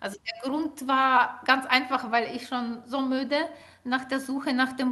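A woman's raised, projected voice in a Ukrainian accent, high-pitched with a bright, sharp tone, at a fairly slow pace. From Ukraine. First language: Ukrainian (speaking German). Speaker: linguist and author. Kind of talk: interview. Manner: hesitant, many filler sounds.

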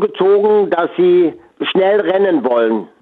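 Set against noticeable background noise, the speech moves at a very slow pace with ordinary pitch variation. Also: man. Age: 80s+. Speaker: former jockey running a horse sanctuary. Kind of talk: radio interview. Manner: halting.

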